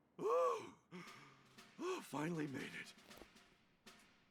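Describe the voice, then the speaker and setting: Here a man puts on a character voice at a high pitch. The sound is raspy. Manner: relieved.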